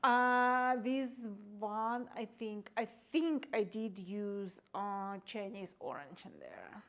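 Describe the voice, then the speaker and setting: Her loudness swinging widely, a woman speaks very slowly at a fairly high pitch with ordinary pitch variation. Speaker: painter giving a live demonstration. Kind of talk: live painting demonstration with audience Q&A. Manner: quiet; halting.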